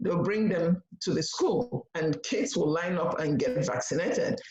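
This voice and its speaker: Heard with audible room echo, a woman with a Nigerian accent speaks at a moderate pace with lively intonation. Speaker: nurse practitioner. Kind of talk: panel presentation. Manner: halting.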